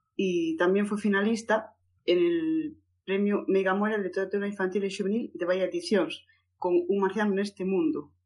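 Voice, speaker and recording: A woman speaks in a normal speaking voice at a medium pitch. Her intonation is lively. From Galicia, Spain (A Coruña). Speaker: book podcast co-host. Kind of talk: casual chat.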